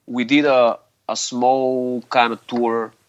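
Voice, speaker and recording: A man speaks at a medium pitch in a Bulgarian accent. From Bulgaria, Sofia. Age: 40s. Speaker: hardcore musician. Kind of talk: interview. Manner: halting.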